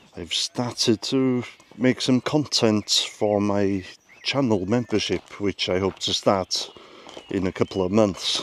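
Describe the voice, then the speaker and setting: This man talks fairly slowly in a fairly low voice with ordinary pitch variation. The sound is dry and close with no echo, though noticeable background noise is present. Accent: Welsh. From Wales. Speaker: YouTuber. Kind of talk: casual talk to camera.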